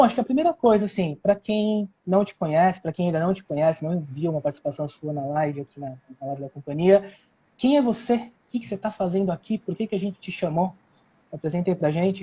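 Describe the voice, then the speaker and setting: Speaking at a very fast pace, a man with a high voice and a dark, mellow tone uses lively intonation in a dry, close recording with no echo. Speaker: language school coordinator. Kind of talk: live stream interview.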